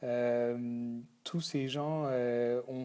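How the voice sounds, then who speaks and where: The voice has a dark, mellow tone. Its intonation stays fairly even. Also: man. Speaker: company founder. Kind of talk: thank-you video message. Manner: halting, many fillers.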